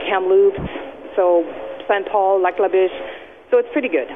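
Over noticeable background noise, a woman with a Canadian accent talks at a moderate pace in a fairly low pitch. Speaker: small business owner. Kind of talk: radio interview.

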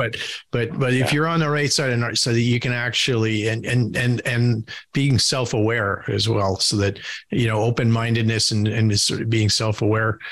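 A man talks at a moderate pace with medium pitch and very even loudness. His intonation stays fairly even. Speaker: podcast host on board leadership. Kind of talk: casual interview. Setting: video call. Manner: halting, many fillers and repeats.

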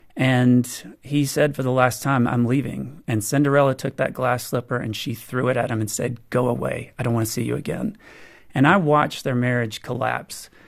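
Heard in a very clean recording with a silent background, a man with an ordinary speaking voice talks at a moderate pace and medium pitch, his intonation fairly even. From US South. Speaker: author on marriage. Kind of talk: radio interview.

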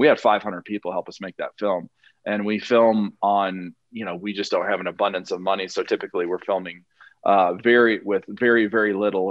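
With an American accent, a man talks at a fairly quick pace in a fairly low pitch. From Montana. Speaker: lawyer and filmmaker. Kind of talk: interview. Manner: halting.

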